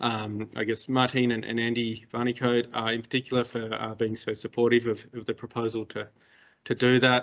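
In a monotone, flat intonation, the man keeps up a fairly quick pace. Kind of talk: lecture.

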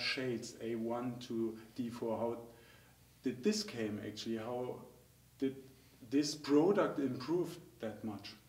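A man with a German accent speaks at a fairly slow pace. His pitch varies in an ordinary way, and the room echo is audible. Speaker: dental technical trainer. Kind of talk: interview. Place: studio.

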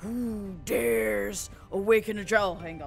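A woman's put-on character voice, medium in pitch and fairly slow, with clear music in the background. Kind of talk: comic overacting of a menacing monster. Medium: virtual streamer. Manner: booming, menacing, contemptuous.

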